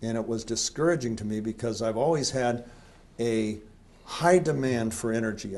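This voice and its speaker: A man speaks in a plain, everyday voice at medium pitch. His pace is moderate. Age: 60s. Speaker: company founder interviewer. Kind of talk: interview.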